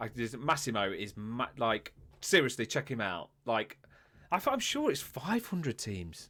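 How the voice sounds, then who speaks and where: With a Derby accent, a man speaks in an animated, bright and sharp tone on a very clean recording with a silent background. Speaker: podcast host. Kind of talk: casual chat.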